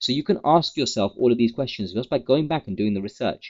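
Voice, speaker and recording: A man with a British accent speaks at a fairly quick pace. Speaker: trading educator, company founder. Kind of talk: market update tutorial. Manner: fast.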